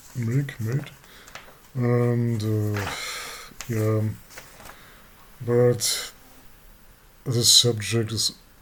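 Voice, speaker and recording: Over noticeable background noise, a man with a non-native accent speaks at a very slow pace. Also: long, frequent pauses. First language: not English. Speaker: abuse survivor vlogger. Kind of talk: personal testimony. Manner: halting, many fillers and repeats.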